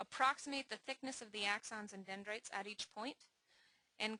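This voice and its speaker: At a fairly quick pace, a woman speaks in a bright, sharp tone with a dry, close sound and no echo. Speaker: scientist giving a software demonstration. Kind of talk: webinar presentation. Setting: online webinar. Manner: not loud; formal. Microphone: may be quiet.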